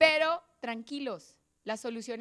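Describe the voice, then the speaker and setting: Against a quiet background, a woman with a high pitch speaks at a fairly slow pace in an animated tone. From Colombia, Boyacá (Sogamoso); Boyacá, Colombia. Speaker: motivational speaker, lawyer and social innovator; invited lecturer. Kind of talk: motivational talk. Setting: auditorium stage with audience. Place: hall. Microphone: handheld.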